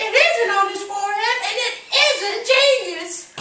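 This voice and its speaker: Putting on a squeaky character voice at an extremely high pitch, a woman speaks at a fairly slow pace with ordinary pitch variation and a slight echo. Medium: short film.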